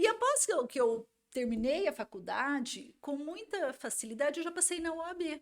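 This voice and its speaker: A woman at a high pitch with very wide pitch swings, at a moderate pace. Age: 40s. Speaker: lawyer. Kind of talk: podcast interview.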